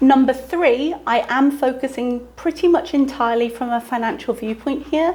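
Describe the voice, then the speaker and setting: A woman with a British accent, high pitch and ordinary pitch variation, at a moderate pace with hardly any pauses. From United Kingdom. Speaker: teacher working abroad, vlogger. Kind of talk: casual informational vlog.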